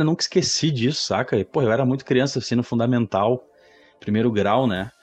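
A plain, everyday voice from a man at a fairly quick pace with ordinary pitch variation. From Rio Grande do Sul, Brazil (Guaíba, near Porto Alegre). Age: 30s. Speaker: graphic designer. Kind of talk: casual chat.

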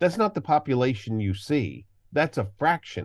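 Here a man with a normal speaking voice talks at a moderate pace, his intonation lively. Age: 50s. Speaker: archaeologist and educator. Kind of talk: interview. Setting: remote call.

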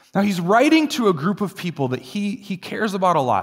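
At a moderate pace, a man uses lively intonation in a normal speaking voice. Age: 30s. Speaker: pastor. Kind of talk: sermon.

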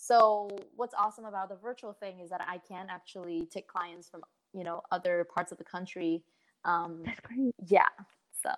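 In a dry, close recording with no echo, a woman uses an unremarkable speaking voice at medium pitch. Her pace is moderate and her intonation fairly even, though her loudness swings widely. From southern China, raised partly in California. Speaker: singer-songwriter and fashion consultant. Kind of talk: casual interview.

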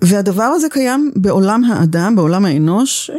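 At a fairly slow pace, a woman speaks in a medium pitch with very wide pitch swings. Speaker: communication teacher. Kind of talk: interview conversation.

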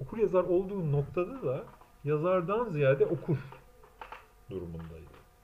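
Speaking at a moderate pace with lively intonation, a man with a high-pitched voice leaves long, frequent pauses. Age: 40s. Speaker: translator and self-styled theorist. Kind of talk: solo monologue lecture. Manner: halting, many filler sounds.

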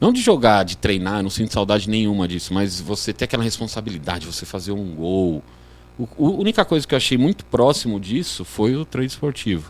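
In a normal speaking voice, a man talks fairly quickly at a fairly low pitch with lively intonation. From Brazil, Guarulhos (São Paulo). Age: 40s. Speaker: sports betting trader, former futsal player. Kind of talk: casual podcast interview.

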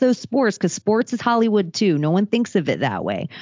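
A woman with an ordinary speaking voice, medium pitch and lively intonation, at a fairly quick pace in an American accent. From Florida, Palm Beach. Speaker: podcaster. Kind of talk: casual chat.

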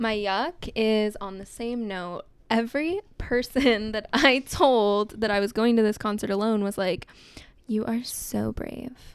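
A woman with a Southern California accent, fairly high-pitched, at a fairly slow pace with ordinary pitch variation. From Southern California, Long Beach. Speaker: podcast co-host, reiki practitioner. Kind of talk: casual chat. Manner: animated.

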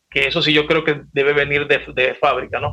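Speaking with a Maracaibo Venezuelan accent, a man talks at a moderate pace in a fairly high pitch. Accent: Maracaibo Venezuelan Spanish with voseo. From Venezuela, Maracaibo (Zulia). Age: 50s. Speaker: salsa singer. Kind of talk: casual chat.

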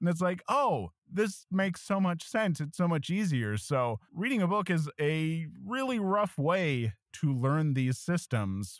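A man talks at a fairly slow pace in a high pitch, with very wide pitch swings. His loudness stays very even, and there are hardly any pauses. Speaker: YouTube tabletop RPG educator. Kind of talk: casual chat. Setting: video call.

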